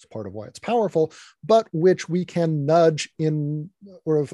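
A man with a dark, mellow tone and an American accent, ordinary pitch variation, and a fairly slow pace. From US South, Virginia. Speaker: author and futurist. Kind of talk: interview. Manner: halting, many fillers.

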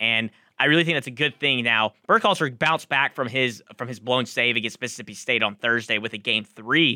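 With a normal speaking voice, a man talks at a fairly quick pace in a medium pitch with ordinary pitch variation. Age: 20s. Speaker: college radio sports co-host. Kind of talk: sports talk radio.

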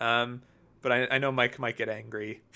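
Speaking with an American accent, a man has a bright, sharp tone at a medium pitch. The recording is very clean, with a silent background. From US, New Jersey. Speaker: site contributor, TV commentator. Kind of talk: casual chat.

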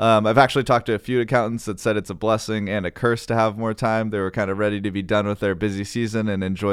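In an unremarkable speaking voice, a man talks at a fairly low pitch with fairly even intonation on a very clean recording with a silent background. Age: 20s. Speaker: financial advisor, podcast co-host. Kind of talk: casual chat about investing.

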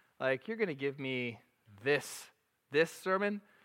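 The tone is bright and sharp, with lively intonation. The pace is moderate and the background quiet. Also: man. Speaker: preacher. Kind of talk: sermon. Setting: church. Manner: casual, chatty.

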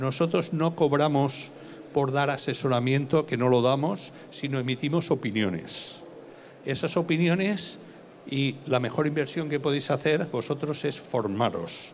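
A man talks at a fairly slow pace and fairly high pitch, with ordinary pitch variation. His loudness is very even, and there is audible room echo. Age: 60s. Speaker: fund analyst. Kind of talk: lecture.

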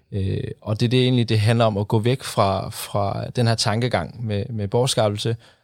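On a very clean recording with a silent background, a man talks at a moderate pace. His medium pitch stays fairly even in intonation. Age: 20s. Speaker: sustainability consultant. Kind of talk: studio interview. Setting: studio. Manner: hesitant with fillers.

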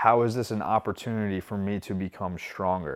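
A man with a plain, everyday voice speaks at a moderate pace in a fairly low pitch with fairly even intonation, on a very clean recording with a silent background. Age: 30s. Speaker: recovery podcast host. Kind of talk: motivational monologue. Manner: casual, repetitive with many fillers.

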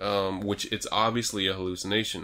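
The intonation here is fairly even. It is an unremarkable speaking voice. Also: man. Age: 30s. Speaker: horror movie podcast co-host. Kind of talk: casual movie review chat.

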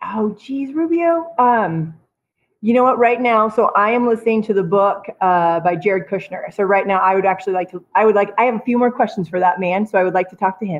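A woman with an American accent and a normal speaking voice talks at a fairly quick pace and medium pitch, her intonation lively. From Idaho. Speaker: guest. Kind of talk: casual interview.

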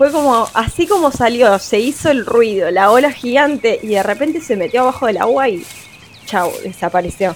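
A woman talks at a moderate pace in a fairly high voice with lively intonation. Noticeable background noise can be heard behind her. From Argentine Patagonia. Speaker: eyewitness. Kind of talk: anecdote.

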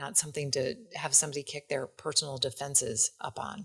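A woman with a very deep, low pitch. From US Midwest, Wisconsin. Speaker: podcast host, leadership coach. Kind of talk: interview conversation.

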